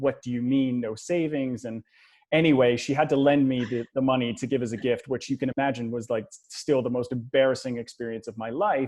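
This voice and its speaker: At a moderate pace, a man speaks in a normal speaking voice with medium pitch. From Canada. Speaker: money coach. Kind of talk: podcast interview.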